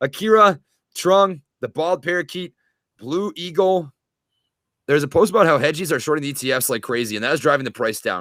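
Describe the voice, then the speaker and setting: In a very clean recording with a silent background, a man with a fairly high voice speaks at a fairly quick pace, his tone animated and his intonation lively. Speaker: stock trader and military officer. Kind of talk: livestream trading chat. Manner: fast.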